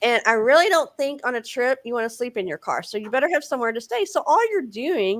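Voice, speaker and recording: Talking at a very fast pace with hardly any pauses, a woman with a Texan accent uses a high pitch and lively intonation. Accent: Texan Southern US. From Texas. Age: 40s. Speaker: faith-based author and speaker. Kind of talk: interview. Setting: live show with chat.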